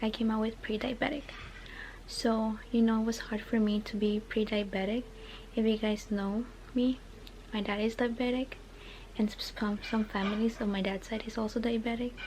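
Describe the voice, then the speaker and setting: The voice is quiet and monotone, with flat intonation. Long pauses come often. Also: woman, fairly high pitch for a woman. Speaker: vlogger. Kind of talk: casual vlog monologue. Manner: fast.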